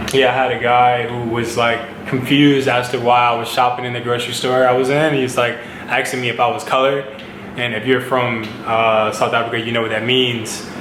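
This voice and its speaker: Amid noticeable background noise and audible room echo, a man at medium pitch speaks in a flat monotone with an American accent at a moderate pace. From United States. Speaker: model and vlogger. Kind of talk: casual vlog talk. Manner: casual, filler-heavy.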